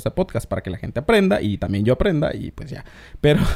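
A man talks very fast with lively intonation and a dark, mellow tone. The sound is dry and close, with no echo. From Mexico, Oaxaca, Isthmus of Tehuantepec. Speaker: podcast host. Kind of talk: casual chat.

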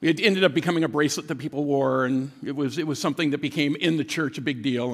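With a plain, everyday voice, a man at a fairly high pitch speaks at a fairly quick pace on a very clean recording with a silent background. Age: 60s. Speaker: guest pastor. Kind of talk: sermon. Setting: church.

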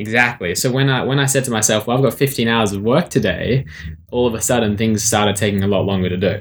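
A man with an Australian accent speaks at a fairly low pitch with fairly even intonation. The recording is very clean, with a silent background. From Sydney, Australia. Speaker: author and motivational speaker. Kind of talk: interview.

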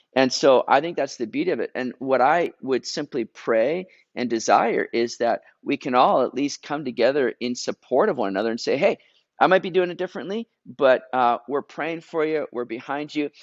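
A man with a Canadian accent has a normal speaking voice, fairly high in pitch with ordinary variation. The sound is dry and close, with no echo. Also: moderate pace. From Vancouver area, Canada. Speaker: pastor. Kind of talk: interview.

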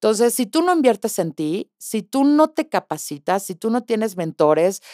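An animated woman at a fairly slow pace, in a very clean recording with a silent background and a dry, close sound with no echo. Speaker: podcast host, sales coach. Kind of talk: motivational monologue.

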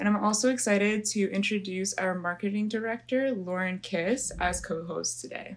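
Over noticeable background noise, a woman with a medium-pitched voice talks at a moderate pace, using ordinary pitch variation and hardly any pauses. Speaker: student podcast host. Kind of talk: interview; scripted intro.

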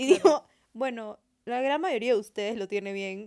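A woman's fairly high voice at a moderate pace, with lively intonation. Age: young. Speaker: podcast co-host, university student. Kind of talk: casual chat.

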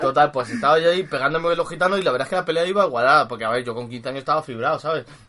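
A man speaks at a very fast pace with hardly any pauses, in an animated tone. His pitch is fairly high with ordinary variation, and there is noticeable background noise. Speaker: podcast co-host. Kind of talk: casual chat.

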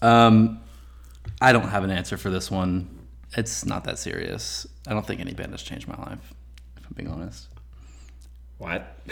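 With an American accent and vocal fry, the speaker moves at a moderate pace with long, frequent pauses, very wide pitch swings and big swings in loudness. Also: man, very deep, low pitch for a man. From Texas. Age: 20s. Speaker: music podcast guest. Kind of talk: casual chat.

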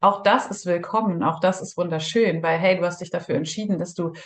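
Over a quiet background, a woman talks in a somewhat breathy voice with ordinary pitch variation. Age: 30s. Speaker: breathwork practitioner, former police officer. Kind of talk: interview.

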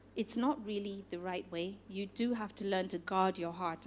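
A woman talks at a moderate pace with ordinary pitch variation. Noticeable background noise can be heard behind her. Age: 50s. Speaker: pastor. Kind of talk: sermon.

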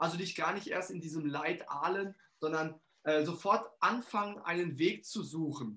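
A man speaks in a high pitch with an energetic tone. His voice is bright and sharp, and his pace is fairly slow. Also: ordinary pitch variation. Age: 40s. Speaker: financial coach and trainer. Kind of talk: interview.

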